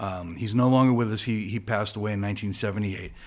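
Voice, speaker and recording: A man with an ordinary speaking voice talks at a fairly low pitch with fairly even intonation, recorded very cleanly against a silent background. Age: 60s. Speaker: guitarist in a party cover band. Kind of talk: podcast interview. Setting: studio.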